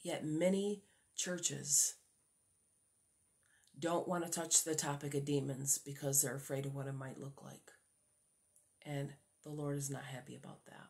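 A woman's very deep, low, somewhat breathy voice at a moderate pace, with fairly even intonation, long, frequent pauses and a quiet background. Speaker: religious vlogger. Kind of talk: casual religious vlog talk. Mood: earnest, preaching tone. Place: home room. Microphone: phone near.

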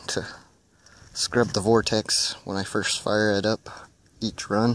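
A man speaks at a fairly low pitch in monotone, flat intonation. The sound is dry with no echo. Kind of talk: casual vlog chat. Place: open country. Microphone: phone near.

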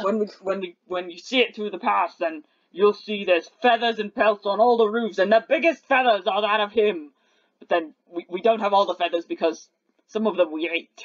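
A put-on character voice, fairly high in pitch, delivers its lines at a moderate pace. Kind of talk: tabletop game master voicing a monster. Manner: boastful, proud.

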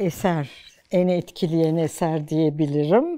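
Her voice has a dark, mellow tone as the woman speaks at a very slow pace. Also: quiet background. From Turkey, Ankara. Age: 70s. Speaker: archaeology professor. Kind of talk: life-story interview.

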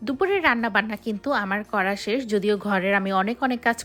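On a very clean recording with a silent background, a bright, sharp tone carries ordinary pitch variation. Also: woman. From Bangladesh, Bikrampur (Munshiganj). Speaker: cooking and family vlogger. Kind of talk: casual vlog narration. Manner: conversational with frequent fillers.

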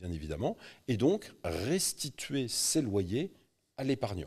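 Pitch swinging very widely, a man talks at a very slow pace against a quiet background. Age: 50s. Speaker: real estate investment specialist; guest. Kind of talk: interview. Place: studio. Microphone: studio mic.

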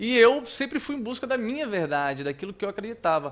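Very wide pitch swings mark this bright, sharp tone, delivered at a fairly quick pace. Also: man. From Brazil. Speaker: radio announcer and artist; radio announcer. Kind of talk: casual storytelling chat. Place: studio. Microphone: studio mic.

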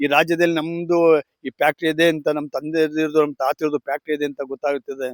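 A man with fairly high pitch and monotone, flat intonation, dry and close with no echo. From Mandya district, Karnataka. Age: 50s. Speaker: sugarcane farmer. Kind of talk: interview.

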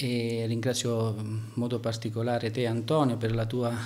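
This man talks at a moderate pace. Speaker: town mayor. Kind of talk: interview answer. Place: office. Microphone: handheld.

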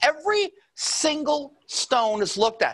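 Against a quiet background, a man speaks with a bright, sharp tone and lively intonation. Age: 60s. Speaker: presenter. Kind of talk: sales pitch. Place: studio. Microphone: lapel.

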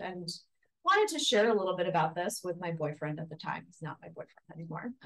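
A woman talks in a normal speaking voice, her pitch medium and its variation ordinary. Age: 30s. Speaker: pastor. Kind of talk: testimony.

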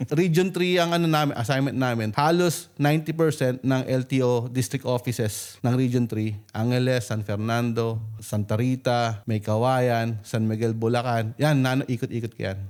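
A man with an unremarkable speaking voice speaks at medium pitch and a fairly slow pace, with ordinary pitch variation, very even loudness and hardly any pauses. The recording is very clean, with a silent background. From Philippines, Valenzuela (Metro Manila). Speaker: overseas worker and real estate entrepreneur. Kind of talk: interview, telling life story.

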